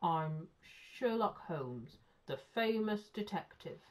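In a gruff, put-on character voice, a female-sounding speaker talks at a fairly slow pace with a medium pitch.

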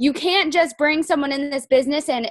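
A woman speaks at a high pitch and a moderate pace. The background is quiet, and the sound is dry with no echo. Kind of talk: team training talk. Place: home room. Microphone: video call.

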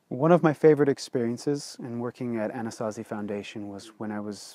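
In a quiet background, a man talks at a moderate pace with ordinary pitch variation. His tone is dark and mellow, and the sound is dry with no echo. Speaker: author and blogger. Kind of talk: personal storytelling to camera. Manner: casual, hesitant with fillers. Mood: earnest, reflective storytelling. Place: open country. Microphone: lapel.

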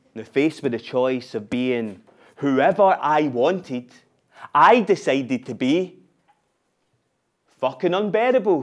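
A man with a Scottish accent, fairly high in pitch, at a fairly slow pace with long, frequent pauses over a quiet background. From Glasgow, Scotland. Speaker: spoken word performer. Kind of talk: live theatre monologue, spoken word. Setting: live stage with audience. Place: stage.

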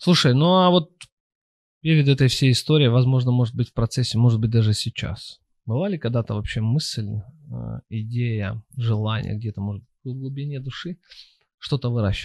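A somewhat breathy man speaks at a moderate pace with ordinary pitch variation and long, frequent pauses. The sound is dry with no echo. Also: quiet background. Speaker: podcast host. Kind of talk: casual interview. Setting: studio. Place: studio. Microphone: studio mic.

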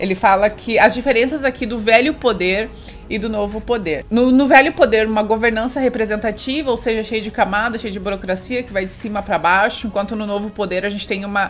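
With faint music in the background, a woman talks at a fairly quick pace with hardly any pauses and ordinary pitch variation. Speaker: book reviewer. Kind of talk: casual vlog chat summarizing a book. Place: home room.

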